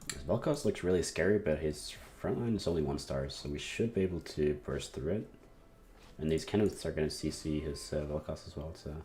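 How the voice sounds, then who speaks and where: A man with a very deep, low pitch and a dark, mellow tone speaks at a fairly quick pace. Vocal fry runs through his voice, and his pitch varies in an ordinary way. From Norway. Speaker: video game streamer. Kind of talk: casual gameplay commentary with chat Q&A.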